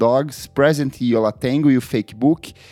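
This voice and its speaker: Music plays behind a man whose medium-pitched voice has ordinary pitch variation and a moderate pace, recorded dry and close with no echo. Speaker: podcast host. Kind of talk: casual chat about music; scripted narration.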